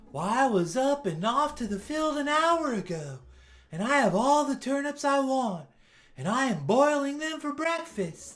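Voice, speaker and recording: A man puts on a character voice at an extremely high pitch, talking at a moderate pace. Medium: read story. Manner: brisk, self-assured.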